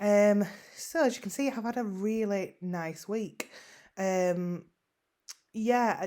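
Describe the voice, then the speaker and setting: A woman with a fairly strong Yorkshire accent and a dark, mellow tone, very slow, with long, frequent pauses. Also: medium pitch for a woman, ordinary pitch variation. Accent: northern English (Yorkshire), fairly strong. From West Yorkshire, northern England (Huddersfield). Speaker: online seller vlogger. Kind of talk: casual vlog update. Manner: hesitant, frequent ums and repetitions.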